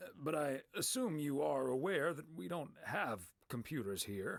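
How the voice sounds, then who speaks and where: A raspy, put-on character voice moves through very wide pitch swings at a moderate pace. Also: man, fairly high pitch for a man. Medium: video game. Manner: polite, mild.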